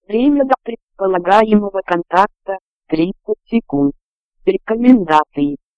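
Against a quiet background, someone does plain reading aloud, the intonation lively.

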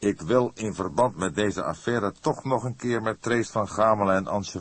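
Someone is reading aloud in a natural voice. The delivery stays that way throughout.

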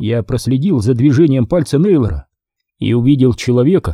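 A quiet background behind a natural voice reading aloud.

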